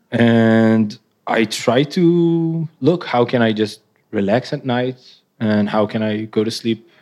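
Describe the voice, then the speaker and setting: With an Israeli accent, a man talks at a very slow pace with ordinary pitch variation in a very clean recording with a silent background. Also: medium pitch for a man. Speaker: artist. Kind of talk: live interview. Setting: stage with audience. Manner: nervous.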